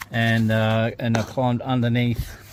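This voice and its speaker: A man with an Australian accent speaks fairly slowly at a medium pitch. His intonation is monotone and flat, and there is noticeable background noise. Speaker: DIY mechanic, fitter and marine engineer. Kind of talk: tutorial. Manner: casual, hesitant with many fillers.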